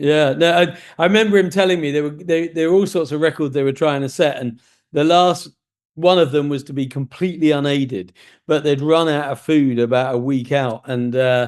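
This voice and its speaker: A man talks fairly quickly at a fairly high pitch in an ordinary speaking voice. His pitch varies in an ordinary way, and the background is quiet. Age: 60s. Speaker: podcast host. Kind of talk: interview conversation.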